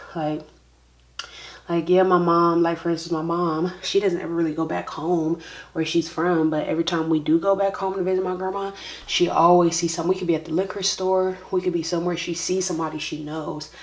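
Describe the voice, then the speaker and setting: Noticeable noise sits in the background. The talking moves along fairly quickly. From military kid, no hometown. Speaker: beauty vlogger. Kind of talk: casual chat.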